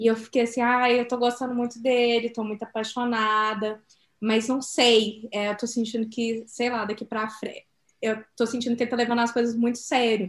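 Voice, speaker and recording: A woman speaks at a fairly high pitch. Her intonation is monotone and flat, at a moderate pace. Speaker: podcast co-host. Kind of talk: casual chat.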